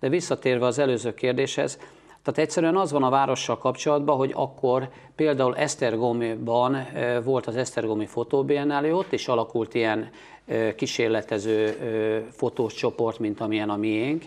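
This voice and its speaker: A man speaks in a plain, everyday voice with a medium pitch. His pace is moderate, with ordinary pitch variation. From Hungary, Pécs; Hungary. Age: 50s. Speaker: photographer; guest. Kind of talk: interview. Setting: TV studio. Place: studio. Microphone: lapel.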